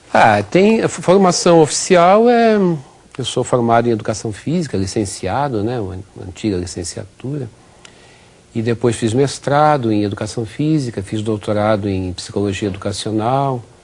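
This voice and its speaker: A man at medium pitch with lively intonation and a moderate pace, amid noticeable background noise. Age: 60s. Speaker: physical education professor. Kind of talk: TV interview. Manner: halting, many repetitions.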